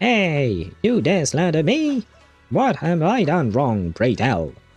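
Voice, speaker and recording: Putting on a character voice, a man speaks at a fairly slow pace and a fairly high pitch with very wide pitch swings and very even loudness, while faint music plays in the background. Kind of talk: archaic, theatrical. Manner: haughty, archaic.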